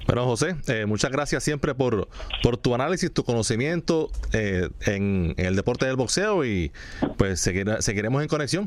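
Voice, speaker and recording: A man speaks at a moderate pace in a medium pitch. His voice moves through very wide pitch swings. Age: 40s. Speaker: sports radio host. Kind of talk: sports talk radio.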